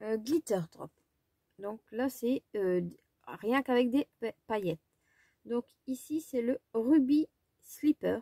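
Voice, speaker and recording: The voice is dark and mellow, moving at a very slow pace with long, frequent pauses, in a dry, close sound with no echo. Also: woman, high pitch for a woman, ordinary pitch variation. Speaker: craft and haul vlogger. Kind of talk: casual product haul presentation.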